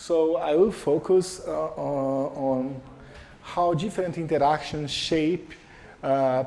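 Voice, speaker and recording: A man with a Portuguese accent speaks very slowly at a fairly high pitch, with ordinary pitch variation. Noticeable background noise and audible room echo fill the recording. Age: 40s. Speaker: professor. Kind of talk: lecture. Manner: halting.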